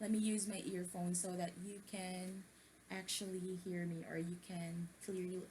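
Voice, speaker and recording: A woman speaks softly. Her pace is moderate. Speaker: book-reading vlogger. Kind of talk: reading aloud with commentary. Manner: soft-spoken; hesitant, many fillers.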